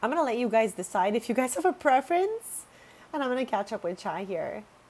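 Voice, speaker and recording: Very wide pitch swings and a very fast pace mark this voice with an Italian accent. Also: woman, high pitch for a woman. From Quebec, Canada. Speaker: video game streamer. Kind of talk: live stream chat while gaming. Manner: casual, chatty.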